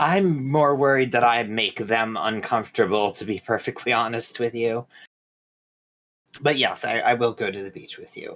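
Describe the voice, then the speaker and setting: A man's put-on character voice, raspy and medium-pitched, with big swings in loudness, ordinary pitch variation and a moderate pace. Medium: actual play. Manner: hesitant, stammering.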